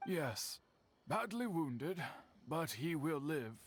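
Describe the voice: A man performs a put-on character voice with a fairly high pitch and a slightly husky edge. He goes slowly, his pitch swinging widely.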